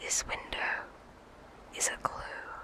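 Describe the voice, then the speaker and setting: Someone whispers in a calm tone at a very slow pace. Noticeable background noise is present. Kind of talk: ASMR gaming let's play commentary. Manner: whispered; soft-spoken, calm.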